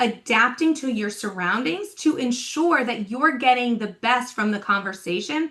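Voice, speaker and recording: A woman talks loudly at a fairly slow pace with a high pitch and lively intonation. Her tone is animated, bright and sharp. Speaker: talent development coach. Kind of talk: podcast interview.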